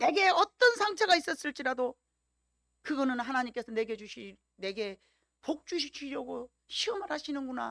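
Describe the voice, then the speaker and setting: Her tone animated and her pitch swinging very widely, a woman speaks at a moderate pace in a dry, close sound with no echo. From Jeolla Province, Korea. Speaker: pastor. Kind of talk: sermon.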